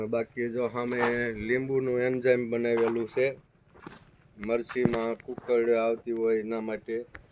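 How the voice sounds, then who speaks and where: Noticeable background noise sits behind a man speaking at a medium pitch. His intonation is monotone and flat. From Saurashtra, Gujarat (Surendranagar district). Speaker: farmer. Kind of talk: farm tour video.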